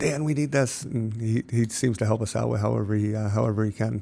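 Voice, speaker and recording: A man with a fairly low pitch talks at a moderate pace in an American accent. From upstate New York, Lake George area. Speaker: nonprofit founder, recovery cycling. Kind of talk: interview. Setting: in person. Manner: halting, many fillers.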